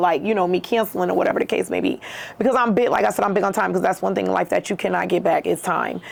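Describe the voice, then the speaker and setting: A woman's voice over noticeable background noise. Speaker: waxing salon owner. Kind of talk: casual interview chat.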